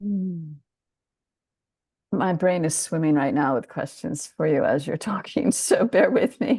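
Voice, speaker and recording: A woman's medium-pitched, somewhat breathy voice with a dark, mellow tone, very wide pitch swings, a fairly slow pace and long, frequent pauses. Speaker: webinar host, interviewer. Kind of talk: casual webinar hosting.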